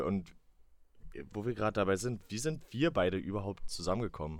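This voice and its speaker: Lively intonation runs through a man's fairly low-pitched speech. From northern Saxony-Anhalt, Salzwedel. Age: 20s. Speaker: podcast co-host, marketing employee. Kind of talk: casual chat. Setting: remote recording from home.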